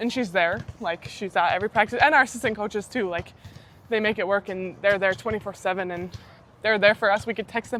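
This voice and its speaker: A woman with a Canadian accent and medium pitch uses a normal speaking voice, talking at a fairly quick pace with fairly even intonation. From Saskatchewan, Canada. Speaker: university athlete. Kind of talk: casual interview chat.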